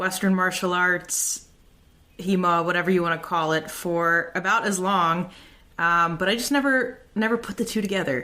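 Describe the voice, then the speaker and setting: In an American accent, a woman talks with a bright, sharp tone. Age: 30s. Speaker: podcast host and fencing instructor. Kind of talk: podcast monologue.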